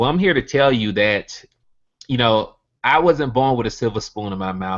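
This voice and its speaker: Speaking at a moderate pace in a Southern US accent, a man has a medium pitch with ordinary pitch variation. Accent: Southern US (country). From US South, Birmingham, Alabama. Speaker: network marketing earner giving testimony. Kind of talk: motivational talk on a video hangout. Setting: online video hangout.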